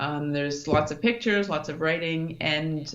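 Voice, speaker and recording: Someone with a Canadian accent speaks at a moderate pace with fairly even intonation in audible room echo. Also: woman. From Canada, Thunder Bay, Ontario. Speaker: mountaineer and brain injury survivor. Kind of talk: interview.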